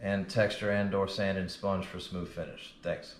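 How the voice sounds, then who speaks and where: With an American accent, a man speaks at a fairly low pitch. His delivery is monotone and flat, and there is audible room echo. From Louisiana, New Orleans. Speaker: drywall finisher and instructor. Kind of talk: tutorial. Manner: casual, with fillers.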